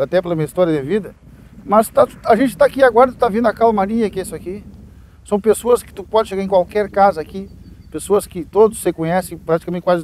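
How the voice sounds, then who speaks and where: Very fast speech with big swings in loudness, ordinary pitch variation and a dry sound with no echo. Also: man, high pitch for a man. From southern Brazil. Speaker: local resident. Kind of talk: documentary interview. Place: street. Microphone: lapel.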